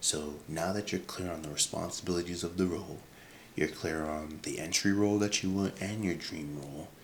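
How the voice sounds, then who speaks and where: A man with a very deep, low pitch talks at a fairly quick pace in fairly even intonation. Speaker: career advice creator. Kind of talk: casual advice vlog. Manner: halting, many fillers; soft-spoken.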